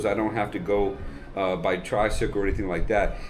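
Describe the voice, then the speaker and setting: A man talks at a fairly quick pace. Audible room echo can be heard around his voice. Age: 60s. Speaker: retired military officer, expat. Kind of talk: casual interview.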